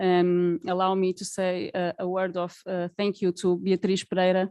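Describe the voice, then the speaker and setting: Speaking with a Portuguese accent at a medium pitch and fairly slow pace, a woman is heard in dry, close sound with no echo over a quiet background. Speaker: charity representative. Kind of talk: conference speech. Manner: halting.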